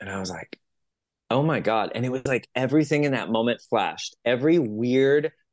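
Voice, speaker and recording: A man speaks at a fairly quick pace in a medium pitch, with a quiet background. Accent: Californian. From US West Coast, San Jose California. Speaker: spiritual coach and musician. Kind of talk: casual interview.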